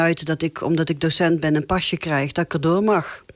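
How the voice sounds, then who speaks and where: On a very clean recording with a silent background, a woman talks in a fairly low pitch. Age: 60s. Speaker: teacher and local election candidate. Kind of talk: interview. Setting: studio. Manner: hesitant, many filler sounds.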